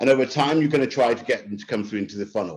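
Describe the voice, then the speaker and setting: A man speaks in a London accent with ordinary pitch variation. The background is quiet. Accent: British, London-style. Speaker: marketing executive. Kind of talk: webinar presentation. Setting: online webinar. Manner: fast; stammers on some words.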